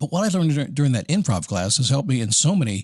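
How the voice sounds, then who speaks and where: Somewhat breathy speech with very wide pitch swings over a quiet background. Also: man. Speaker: podcast host; voiceover and spokesperson performer. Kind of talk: motivational podcast talk. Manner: casual, conversational.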